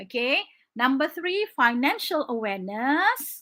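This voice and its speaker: A woman in a Malaysian accent uses a raised, projected voice. Her pitch is high and her tone bright and sharp. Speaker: English teacher. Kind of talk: online exam-prep lesson. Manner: animated.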